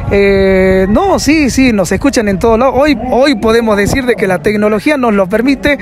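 A man talks in a high pitch. Loud background noise runs behind him. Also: dry sound with no echo. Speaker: radio announcer. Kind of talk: interview answer. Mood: cheerful, smiling. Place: street. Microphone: handheld.

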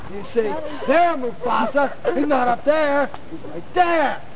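Over noticeable background noise, a man speaks at a moderate pace in an extremely high pitch with lively intonation. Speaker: tour guide. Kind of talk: tour guide talk to visitors. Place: forest.

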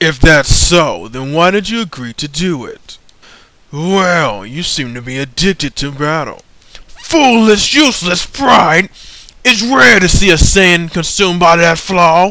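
Using a put-on character voice, a man speaks at high pitch. His pace is fairly slow. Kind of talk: fan voice acting practice, game scene. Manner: superior, calm, amused.

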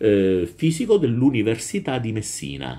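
A man's dark, mellow tone with very wide pitch swings, at a fairly slow pace. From Southern Italy, Calabria (Reggio Calabria). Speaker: teacher. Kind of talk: lecture. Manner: hesitant, with frequent fillers. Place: home room. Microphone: webcam.

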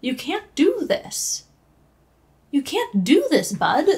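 The woman's speech moves at a fairly slow pace. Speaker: reaction streamer. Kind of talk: casual reaction commentary. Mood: emotional, pleading with character. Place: home room. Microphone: headset.

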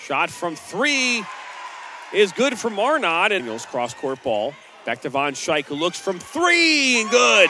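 A man with a high pitch projects a raised voice at a very slow pace, his pitch swinging very widely, in a dry sound with no echo and noticeable background noise. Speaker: basketball play-by-play announcer. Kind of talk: live sports commentary, highlight-reel play-by-play. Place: stadium. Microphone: headset.

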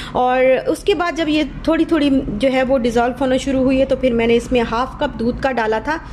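Over noticeable background noise, a woman talks at a moderate pace in a high pitch, with fairly even intonation, very even loudness and hardly any pauses. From Pakistan. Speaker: cooking vlogger and mother. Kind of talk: voiceover cooking tutorial. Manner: casual, hesitant with fillers.

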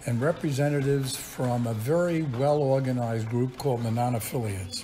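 Noticeable background noise accompanies a man talking fairly quickly. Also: medium pitch for a man, ordinary pitch variation. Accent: New York. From Brooklyn, New York. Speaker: retired chemistry professor. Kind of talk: interview answer.

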